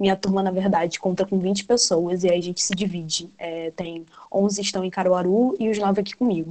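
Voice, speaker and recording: A woman talks at a fairly quick pace with hardly any pauses and fairly even intonation. Her tone is dark and mellow, over light background noise. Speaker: nutritionist. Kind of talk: online talk. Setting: video call. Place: home room. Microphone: video call.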